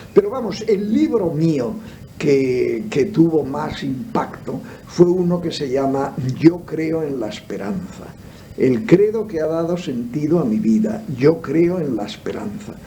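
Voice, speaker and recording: Very slowly and with very wide pitch swings, a fairly high-pitched man speaks over noticeable background noise, with audible room echo. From Spain. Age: 70s. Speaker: theologian and philosopher. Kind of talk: radio interview. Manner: halting, many fillers.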